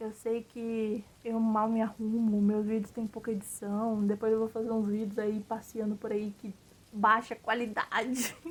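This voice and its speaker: A woman speaks in a fairly high, somewhat breathy voice. Her intonation stays monotone and flat. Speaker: vlogger. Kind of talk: casual monologue vlog. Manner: casual, filler-heavy.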